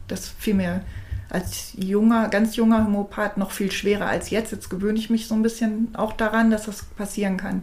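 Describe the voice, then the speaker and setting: A woman's fairly high pitch at a moderate pace, in monotone, flat intonation. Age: 50s. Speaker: alternative practitioner. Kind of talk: interview. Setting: in person studio recording.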